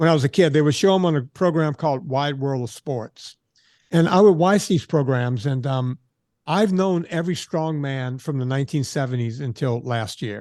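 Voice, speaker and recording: A man's ordinary speaking voice, fairly high in pitch, with ordinary pitch variation, a moderate pace and a quiet background. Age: 60s. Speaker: fitness trainer. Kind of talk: interview.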